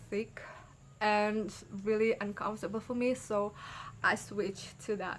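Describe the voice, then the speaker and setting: Speaking with a non-native accent, a woman keeps a fairly high pitch and a fairly slow pace. Her intonation is fairly even. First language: not English. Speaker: YouTuber and midwifery student. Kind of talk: casual vlog talk.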